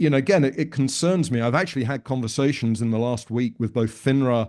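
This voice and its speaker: A man with a British accent, medium pitch and ordinary pitch variation, over a quiet background. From United Kingdom. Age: 60s. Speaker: financial advisor coach. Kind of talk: podcast interview. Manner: halting, with repeated words.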